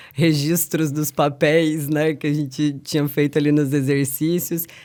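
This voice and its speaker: A woman talks at a moderate pace with a flat, monotone delivery. Her pitch is very deep and low. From Piracicaba, interior of São Paulo state, Brazil. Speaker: professor. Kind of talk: interview conversation. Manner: relaxed, conversational.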